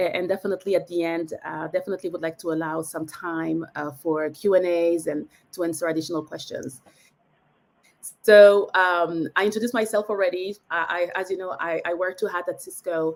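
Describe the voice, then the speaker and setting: Speaking with a French accent, a woman uses a fairly low pitch, a fairly quick pace and fairly even intonation. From France. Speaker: tech industry expert. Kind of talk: webinar presentation. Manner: halting.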